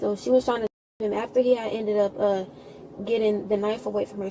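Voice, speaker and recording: A woman talks at a very fast pace, her pitch in the middle range and her intonation fairly even. Noticeable background noise runs under her voice. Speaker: witness, sibling of victim. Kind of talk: police witness statement. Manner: halting.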